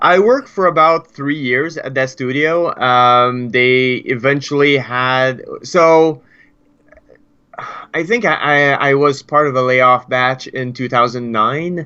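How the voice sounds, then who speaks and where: A man talks very slowly with a French Canadian accent. His pitch is fairly high, with ordinary pitch variation. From Quebec. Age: 30s. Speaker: game developer. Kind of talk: interview. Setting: live stream.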